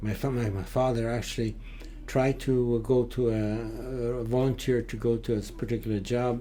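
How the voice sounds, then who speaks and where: In a room with audible echo, a man talks at a moderate pace with medium pitch and monotone, flat intonation. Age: 80s+. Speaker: Holocaust survivor. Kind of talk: interview. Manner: halting, frequent uh fillers.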